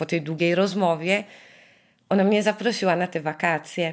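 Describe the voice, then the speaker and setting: Her fairly low-pitched voice keeps a fairly even intonation as the woman speaks. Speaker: survivor's relative. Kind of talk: interview testimony. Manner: halting, searching for words.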